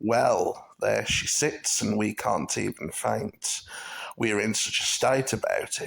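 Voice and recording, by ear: The pitch moves in an ordinary way as a person reads out loud in a natural voice.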